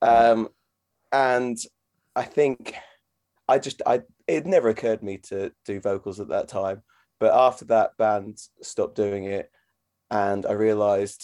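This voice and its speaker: A man with a Norfolk accent speaks at a fairly slow pace in a dark, mellow tone. The recording is very clean with a silent background and a dry, close sound with no echo. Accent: Norfolk English, British. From Norfolk, England. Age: 30s. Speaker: vocalist and guitarist in a band. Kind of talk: casual interview chat.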